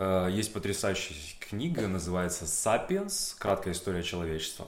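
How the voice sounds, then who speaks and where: A man with a fairly low voice talks at a fairly quick pace in a room with audible echo. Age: 30s. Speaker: actor. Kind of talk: interview monologue. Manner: casual, with frequent fillers.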